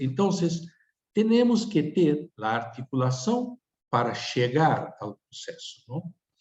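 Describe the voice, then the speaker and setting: A man speaks at a very slow pace, somewhat breathy. His pitch swings very widely. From Tucumán, Argentina. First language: Spanish (speaking Portuguese). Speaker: speaker at a webinar. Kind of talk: webinar presentation. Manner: halting, with many fillers.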